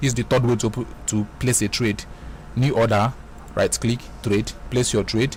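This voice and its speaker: Marked by long, frequent pauses, the speech has vocal fry, very even loudness, and a monotone with flat intonation. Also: man, medium pitch for a man. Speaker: forex trading tutorial creator. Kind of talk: screen-recorded software tutorial. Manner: fast. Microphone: voice sounds bad in the mic.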